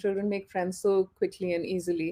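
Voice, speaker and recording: A woman's dark, mellow tone at a moderate pace. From India, Punjab. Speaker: interview guest. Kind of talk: casual interview. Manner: hesitant with many fillers.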